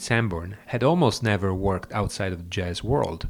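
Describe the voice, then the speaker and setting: A man with an ordinary speaking voice, ordinary pitch variation and a moderate pace, on a very clean recording with a silent background. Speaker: radio host. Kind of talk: radio show presenting, scripted-sounding introductions of music tracks. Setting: studio. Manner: formal, informative, measured.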